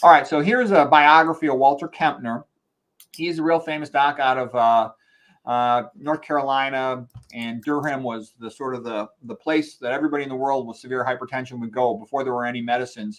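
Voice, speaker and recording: Using a plain, everyday voice, a man speaks at medium pitch and a fairly quick pace with ordinary pitch variation. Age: 60s. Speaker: medical doctor. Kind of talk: lecture. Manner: casual, conversational.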